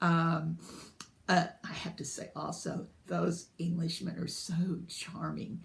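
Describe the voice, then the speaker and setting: Speaking at a very slow pace with a slight Southern US accent, a woman uses a fairly low pitch, vocal fry and monotone, flat intonation, her loudness swinging widely amid audible room echo. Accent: slight Southern drawl. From US, partly south Georgia. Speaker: book vlogger. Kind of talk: casual vlog monologue. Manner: halting, many fillers.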